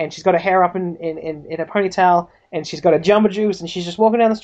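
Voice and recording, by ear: The clip is reading aloud in a natural voice.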